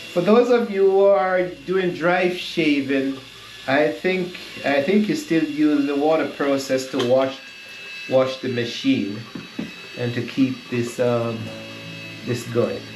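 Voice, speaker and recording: Over noticeable background noise and audible room echo, a man with a Jamaican accent speaks very slowly in a fairly high pitch, with lively intonation and long, frequent pauses. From Jamaica (Kingston / Saint Andrew). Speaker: vlogger. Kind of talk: casual vlog tutorial. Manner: halting, many fillers.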